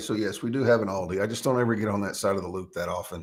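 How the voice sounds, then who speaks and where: A man with a strong Texan accent, very fast pace and ordinary pitch variation. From East Texas, small town. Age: 40s. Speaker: podcast host. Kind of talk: casual chat. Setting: live stream.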